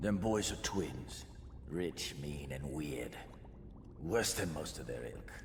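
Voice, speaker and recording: A man uses a gruff, put-on character voice at a fairly slow pace. Loud background noise runs behind him. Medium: video game. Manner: gruff, streetwise, slangy.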